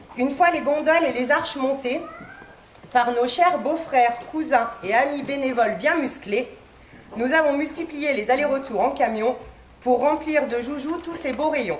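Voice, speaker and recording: A woman talks fairly slowly at a high pitch with ordinary pitch variation. Room echo is audible, and background noise is noticeable. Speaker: toy shop owner. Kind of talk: speech reading a prepared text. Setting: shop inauguration before audience, no microphone. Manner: loud, projecting without microphone.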